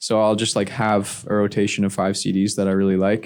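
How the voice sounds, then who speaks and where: A man with a Canadian accent, fairly low in pitch, monotone and flat at a moderate pace, on a very clean recording with a silent background. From Ottawa, Canada. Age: 20s. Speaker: musician. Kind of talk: casual chat.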